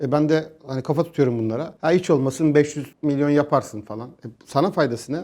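With a plain, everyday voice, a man at fairly high pitch uses ordinary pitch variation and big swings in loudness, leaving hardly any pauses. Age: 40s. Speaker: crypto company executive and economist. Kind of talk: interview. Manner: casual, colloquial.

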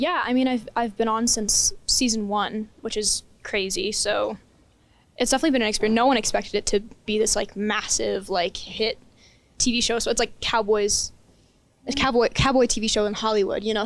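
Fairly even intonation and an American accent come through in a dry sound with no echo. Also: woman. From Texas. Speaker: actress. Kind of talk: casual interview. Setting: film festival press interview. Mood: upbeat, enthusiastic. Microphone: handheld.

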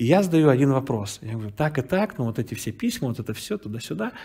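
A man speaks fairly quickly at a medium pitch, his dark, mellow tone somewhat breathy. His intonation is lively, and the background is quiet. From Russian Far East, Vladivostok; Russia. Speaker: pastor. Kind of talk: sermon. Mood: warm, storytelling. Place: hall.

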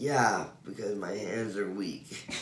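A man with a fairly low pitch speaks in fairly even intonation amid audible room echo and light background noise. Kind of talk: casual drowsy chat. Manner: weak, groggy post-anesthesia voice. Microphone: phone near.

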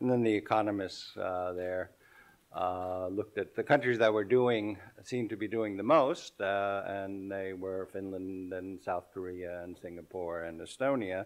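A moderate pace over a quiet background. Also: man, fairly low pitch for a man. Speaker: conference speaker. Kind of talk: speech. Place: hall. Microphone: podium.

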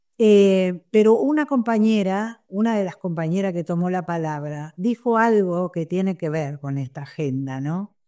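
Her tone is dark and mellow, at a medium pitch with lively intonation. The woman speaks at a fairly slow pace over a quiet background. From Argentina. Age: 70s. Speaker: sex worker activist. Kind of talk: panel discussion. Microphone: webcam.

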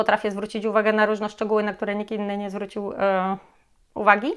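A woman talks very fast at medium pitch in a monotone, flat way, in a very clean recording with a silent background. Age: 30s. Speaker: real estate agent. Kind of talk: casual vlog self-introduction.

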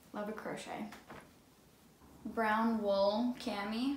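A woman speaks at a medium pitch, with noticeable background noise behind her. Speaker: vintage clothing reseller. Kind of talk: casual talk to camera. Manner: upbeat.

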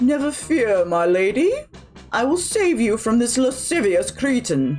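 With faint music in the background, a female-sounding voice does a put-on character voice at a fairly high pitch. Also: moderate pace. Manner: gallant, pompous.

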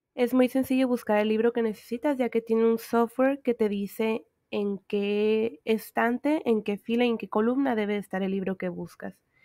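A woman with an ordinary speaking voice talks at a fairly high pitch and a moderate pace, with fairly even intonation. She leaves hardly any pauses, and the sound is dry and close with no echo. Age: 20s. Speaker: exchange student vlogger. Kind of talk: narrated campus tour vlog.

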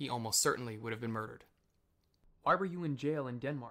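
Here a man is talking. The tone of his voice is bright and sharp. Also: very clean recording, silent background. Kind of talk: reading of a written interview and narration.

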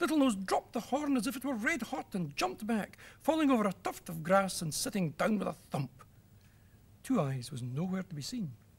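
A man at a high pitch, fairly quick, with very wide pitch swings. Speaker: storyteller. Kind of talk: children's story reading. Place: studio.

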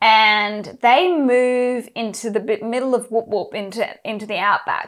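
Ordinary pitch variation marks a woman's speech in an Australian accent. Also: quiet background. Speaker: book club host. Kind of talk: casual chat. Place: home room. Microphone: lapel.

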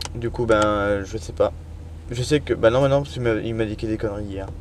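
A man talks at a fairly quick pace in a dry sound with no echo, though noticeable background noise is present. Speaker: truck driver vlogger. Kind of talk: casual vlog monologue. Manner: fast; hesitant, many fillers. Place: car. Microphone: phone near.

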